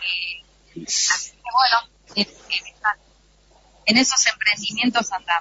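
A woman at medium pitch talks at a very slow pace, with long, frequent pauses, big swings in loudness and ordinary pitch variation. There is noticeable background noise. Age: 70s. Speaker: actress. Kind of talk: interview.

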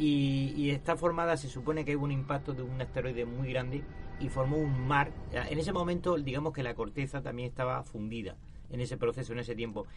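Against noticeable background noise, a man of medium pitch talks fairly quickly with fairly even intonation. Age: 50s. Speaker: panel guest on mystery radio debate. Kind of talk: panel debate.

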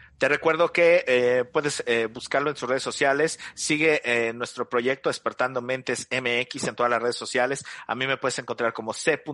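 Over a quiet background, a man speaks in a bright, sharp tone with a dry, close sound with no echo. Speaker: radio and podcast host. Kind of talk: interview. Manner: hesitant, repeats words.

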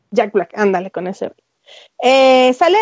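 A woman with a high voice talks at medium speed. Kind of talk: casual solo podcast talk about films. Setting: live online audio stream with chat. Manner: hesitant, many fillers.

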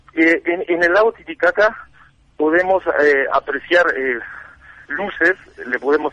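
A man's fairly high voice at a fairly slow pace, with ordinary pitch variation and a dry, close sound with no echo. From Uruguay. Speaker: seeker of ancient wisdom. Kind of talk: interview.

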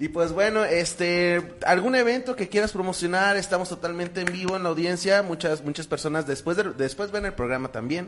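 With hardly any pauses, a man speaks at a fairly quick pace in a high pitch with ordinary pitch variation. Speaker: podcast host. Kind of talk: casual chat. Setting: live stream. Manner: halting.

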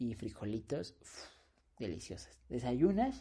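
Against a quiet background, the voice proceeds at a fairly slow pace. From Mexico, not Puebla. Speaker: podcast co-host. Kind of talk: casual chat.

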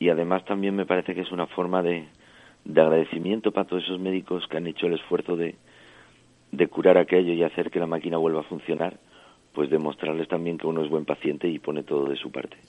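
Here a man talks at a very fast pace. His voice is very deep and low, with monotone, flat intonation. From French Basque Country. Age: 40s. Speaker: injured former bullfighter. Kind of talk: interview.

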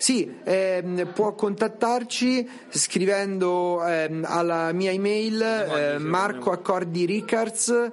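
Over noticeable background noise, a man speaks very slowly at a high pitch with ordinary pitch variation. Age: 40s. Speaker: museum director. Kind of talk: interview.

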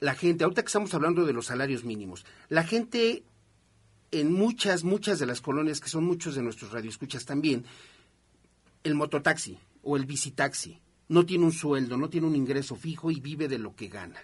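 Against a quiet background, a man talks at a fairly quick pace with lively intonation, a fairly high pitch and a somewhat breathy voice. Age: 50s. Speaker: radio host. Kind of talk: radio talk show.

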